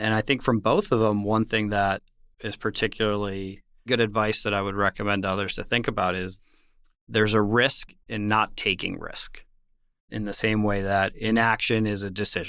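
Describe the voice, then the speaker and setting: With a bright, sharp tone and fairly low pitch, a man talks at a moderate pace in a flat, monotone delivery on a very clean recording with a silent background. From Washington DC, born in Ecuador. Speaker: risk and portfolio manager. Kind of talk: interview.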